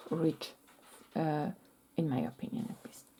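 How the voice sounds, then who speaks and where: The words come at a fairly slow tempo, spoken with a non-native accent. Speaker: quilting teacher. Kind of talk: tutorial. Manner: halting.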